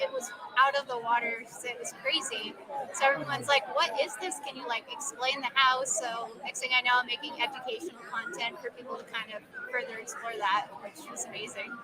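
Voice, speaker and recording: With crowd noise in the background, a soft-spoken woman talks at a fairly quick pace with a high pitch and big swings in loudness. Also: ordinary pitch variation. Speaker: social media creator, family owns a haunted house. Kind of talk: live interview at an expo. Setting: convention floor, live stream.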